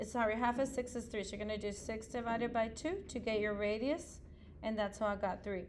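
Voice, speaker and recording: In a room with audible echo, a woman talks at a fairly quick pace and a fairly high pitch. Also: fairly even intonation. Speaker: middle school math teacher. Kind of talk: tutorial.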